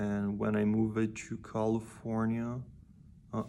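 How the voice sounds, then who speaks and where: With a Portuguese accent, a man speaks at a fairly low pitch. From Brazil. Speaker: musician and vlogger. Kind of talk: personal vlog talk. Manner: halting, many fillers and repeats.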